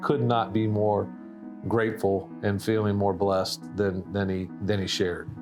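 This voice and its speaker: Music plays in the background as a man speaks at a fairly slow pace. His pitch is fairly low, with ordinary variation. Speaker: conservation organization CEO. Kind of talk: interview answer.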